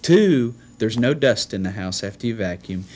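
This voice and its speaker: A man speaks at a moderate pace with very wide pitch swings. There is light background noise. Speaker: home builder giving testimonial. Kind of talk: customer testimonial. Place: office.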